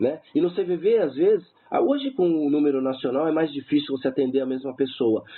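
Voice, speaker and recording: A man with a plain, everyday voice speaks at a fairly quick pace, his fairly high pitch showing ordinary pitch variation. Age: 50s. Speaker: suicide-prevention helpline volunteer. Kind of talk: radio interview.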